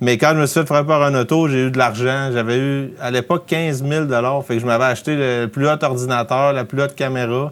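A man with a plain, everyday voice, moderate pace and fairly even intonation. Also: medium pitch for a man. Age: 30s. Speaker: outdoor filmmaker and production company founder. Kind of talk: casual interview.

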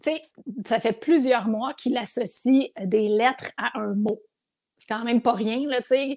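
The recording is very clean with a silent background. A woman with a high pitch speaks at a fairly slow pace with ordinary pitch variation. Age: 40s. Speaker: TV host. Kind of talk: casual chat.

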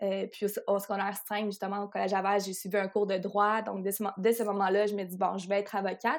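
In a very clean recording with a silent background, a woman of medium pitch talks at a very fast pace in a monotone, flat intonation with hardly any pauses. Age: 20s. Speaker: sports lawyer and athlete agent. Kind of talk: interview.

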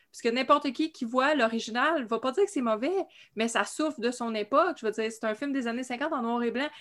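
A woman's high-pitched voice at a fairly quick pace, ordinary pitch variation, very clean recording over a silent background. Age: 40s. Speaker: horror fan panelist. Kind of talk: casual chat.

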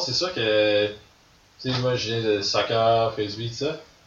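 A man with a medium pitch is heard against noticeable background noise. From Quebec, Gaspésie. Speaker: ultimate frisbee player. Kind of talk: casual chat. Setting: studio.

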